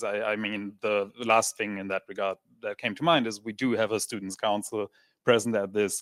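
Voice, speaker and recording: A man speaks with a non-native accent at medium pitch and a moderate pace. The sound is dry and close, with no echo. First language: not English. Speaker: audience member asking question. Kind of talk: audience question. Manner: halting.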